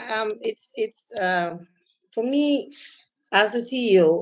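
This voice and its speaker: A woman's voice against a quiet background. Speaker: banker panelist; panelist. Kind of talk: panel discussion. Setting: video call webinar. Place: home room. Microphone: video call.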